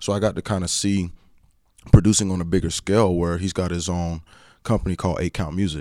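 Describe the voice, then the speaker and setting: On a very clean recording with a silent background, a man with an American accent speaks at a very fast pace in a very deep, low, dark, mellow voice with monotone, flat intonation. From North Carolina. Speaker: musician and worship leader. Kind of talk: casual chat.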